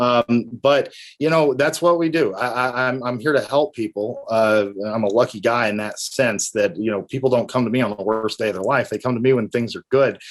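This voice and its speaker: On a very clean recording with a silent background, a man with a Tennessee accent talks at a fairly quick pace with hardly any pauses, his medium pitch varying an ordinary amount. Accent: Tennessee country. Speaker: estate planning attorney. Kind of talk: interview. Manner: halting, many fillers.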